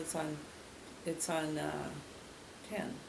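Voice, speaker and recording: A woman with an Upper Midwest accent speaks at a very slow pace. Audible room echo and noticeable background noise fill the recording. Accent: Upper Midwest (Minnesota). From Minnesota, Greenfield area. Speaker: local resident interviewee. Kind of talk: oral history interview. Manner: halting.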